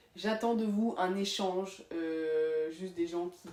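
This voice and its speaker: A woman speaks with a fairly low pitch. Noticeable background noise runs under her voice. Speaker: manga collector youtuber. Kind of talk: casual monologue to camera. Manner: animated.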